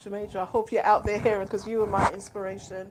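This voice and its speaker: Speaking in a London accent, a woman holds a medium pitch with monotone, flat intonation. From London, England. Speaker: children's author and school administrator. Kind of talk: interview. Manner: hesitant, many ums.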